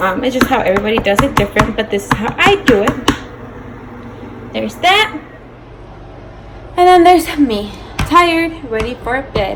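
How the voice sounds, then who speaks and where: Noticeable background noise sits behind a woman with a high pitch. She speaks with very wide pitch swings and long, frequent pauses. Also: moderate pace. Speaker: cooking vlogger. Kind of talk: cooking tutorial. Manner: casual, chatty.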